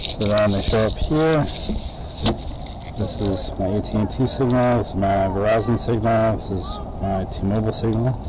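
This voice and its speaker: A man talks at a fairly slow pace. Noticeable background noise can be heard. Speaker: hobbyist streamer testing gear. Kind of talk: tech demo commentary. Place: stadium. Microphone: phone near.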